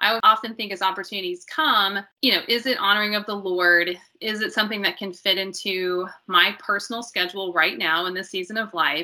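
Using an ordinary speaking voice, a woman talks at a fairly quick pace and a medium pitch with ordinary pitch variation. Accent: American. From US Midwest, southern Illinois. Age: 40s. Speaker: registered dietitian and ministry volunteer. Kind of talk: interview conversation.

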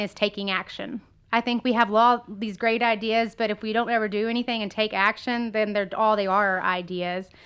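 Against a quiet background, a woman talks at a moderate pace with hardly any pauses. Her fairly high voice has a bright, sharp tone and fairly even intonation. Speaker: real estate broker. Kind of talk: interview.

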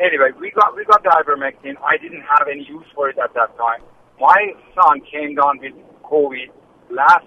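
A man with an American accent speaks in a normal speaking voice, fairly high-pitched, with ordinary pitch variation at a moderate pace. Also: big swings in loudness. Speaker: caller. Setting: phone call.

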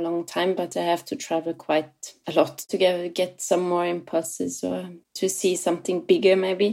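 A woman's dark, mellow voice at medium pitch, monotone and flat, in a German accent. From southwest Germany, near Freiburg. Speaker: playwright and theatre director. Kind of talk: interview.

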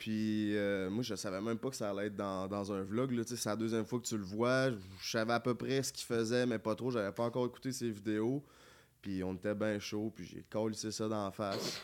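In a normal speaking voice, a man talks at a fairly low pitch and moderate pace with fairly even intonation, on a very clean recording with a silent background. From Quebec City area (Charny). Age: 20s. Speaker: YouTuber. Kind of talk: casual chat.

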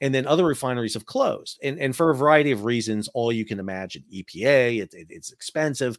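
A man at medium pitch, talking at a very fast pace. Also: ordinary pitch variation, hardly any pauses, big swings in loudness. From New York. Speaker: maritime expert. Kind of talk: interview on a live show.

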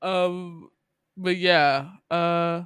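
Sounding bright and sharp, a man with an American accent speaks at a fairly high pitch. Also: very clean recording, silent background. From US Midwest and Georgia. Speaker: podcast host. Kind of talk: casual chat. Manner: animated.

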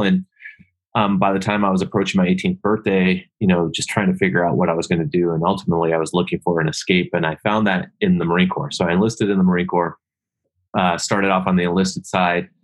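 With an American accent, a man with a very deep, low pitch talks at a very fast pace in a fairly even intonation. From US Northwest, Seattle. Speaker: war veteran. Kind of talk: casual chat.

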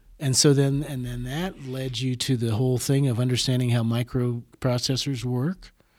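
An ordinary speaking voice from a man with an American accent and medium pitch. He keeps a moderate pace with hardly any pauses and fairly even intonation. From Des Moines, Iowa. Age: 60s. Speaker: musician and teacher. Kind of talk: interview conversation.

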